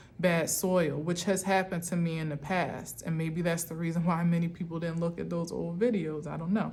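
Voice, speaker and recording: Audible room echo surrounds a woman with a fairly low pitch. Her intonation is monotone and flat, and her pace is moderate. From US Northeast, Camden, New Jersey. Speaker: tarot reader. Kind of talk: spiritual tarot reading monologue.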